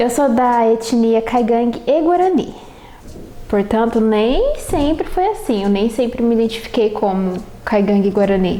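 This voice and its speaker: Her fairly high voice moves slowly with lively intonation and very even loudness. There is audible room echo and noticeable background noise behind the woman. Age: 20s. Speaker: university student. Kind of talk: personal autobiographical testimony.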